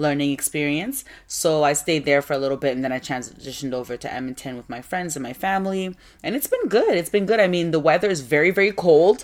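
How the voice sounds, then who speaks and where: Against a silent background in a very clean recording, a woman talks very fast in a very deep, low, animated voice with big swings in loudness. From West Africa (Ghanaian parents, born in Nigeria), raised largely in Toronto. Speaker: podcast host. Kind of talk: solo podcast monologue.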